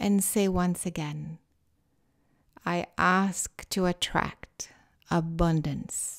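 Over a very clean recording with a silent background, a woman speaks in a calm, soothing tone at a very slow pace, with long, frequent pauses and fairly even intonation. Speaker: meditation guide and author. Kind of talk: guided meditation. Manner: slow, calm, soothing; soft-spoken, deliberately paced with pauses.

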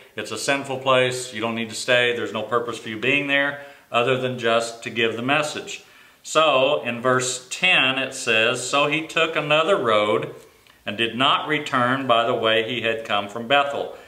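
With audible room echo, a man speaks at a moderate pace with fairly even intonation. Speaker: Sunday school teacher. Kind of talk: Bible teaching. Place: office. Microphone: camera far.

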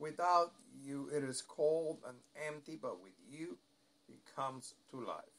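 This man has an unremarkable speaking voice, fairly high in pitch. He talks at a fairly slow pace with big swings in loudness. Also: ordinary pitch variation. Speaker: prayer leader. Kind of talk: evening prayer, fervent devotional prayer. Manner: solemn, reverent.

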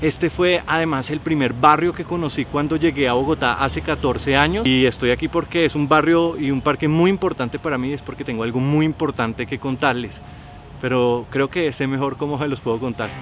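Over background music, a man with a fairly high voice speaks at a fairly quick pace with ordinary pitch variation, the sound dry with no echo. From Cali, Colombia. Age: 30s. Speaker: filmmaker. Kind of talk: casual vlog talk to camera. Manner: talkative. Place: garden.

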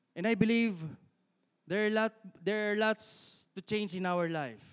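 A man with a high pitch and ordinary pitch variation speaks with long, frequent pauses against a quiet background. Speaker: guest preacher. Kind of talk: sermon. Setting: church with live stream. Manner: animated, exhorting the congregation with repeated call-and-response 'Amen?'; rapid Taglish, mixing English and Tagalog. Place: church. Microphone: handheld.

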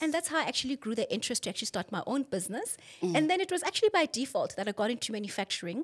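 A woman talks at a very fast pace with a high pitch. Her pitch swings very widely. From South Africa, Rustenburg and Johannesburg; South Africa. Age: 40s. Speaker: author and mother; podcast guest. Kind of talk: interview about personal life. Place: studio. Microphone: studio mic.

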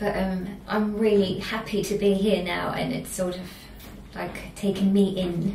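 There is audible room echo and light background noise as a woman speaks at a fairly slow pace with monotone, flat intonation. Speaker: singer. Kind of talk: band interview. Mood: calm, warm. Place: meeting room. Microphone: camera far.

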